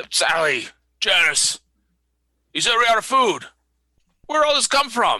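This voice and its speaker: A man puts on a character voice at an extremely high pitch, with very wide pitch swings and a moderate pace. Long pauses come often, and the recording is very clean with a silent background. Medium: actual play. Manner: puzzled, calling out.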